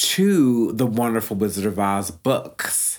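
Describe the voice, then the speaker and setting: A man of medium pitch speaks at a very slow pace. The recording is very clean, with a silent background. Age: 30s. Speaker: film podcast host. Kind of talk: solo podcast commentary. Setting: home recording. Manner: animated.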